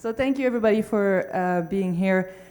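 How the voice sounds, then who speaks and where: A woman with a French Canadian accent, medium pitch and ordinary pitch variation, at a moderate pace. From Canada. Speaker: government information official. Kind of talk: conference presentation.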